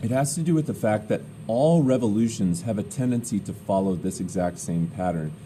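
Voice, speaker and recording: A man with a fairly low pitch talks at a fairly quick pace with very wide pitch swings, and audible room echo surrounds him. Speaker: teacher. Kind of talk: lecture. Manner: loud.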